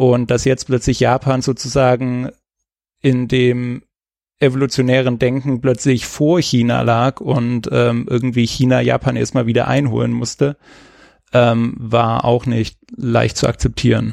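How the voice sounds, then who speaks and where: A man speaks at a fairly slow pace with a medium pitch. His loudness stays very even, with monotone, flat intonation. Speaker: podcast co-host, China history explainer. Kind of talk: casual chat. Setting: recorded remotely, separate locations. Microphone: new headset.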